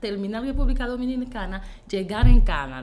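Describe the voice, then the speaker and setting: At a fairly quick pace, a woman speaks with a high pitch, with audible room echo and noticeable background noise. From Haiti. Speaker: image consultant and entrepreneur. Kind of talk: interview.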